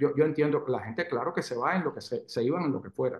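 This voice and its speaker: A man speaks in a fairly high voice whose pitch varies in an ordinary way. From Cuba. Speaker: pediatrician. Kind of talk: interview.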